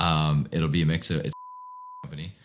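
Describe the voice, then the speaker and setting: There is noticeable background noise as a man speaks at a fairly quick pace. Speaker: CEO of a media agency vlogging his day. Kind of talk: casual work meeting.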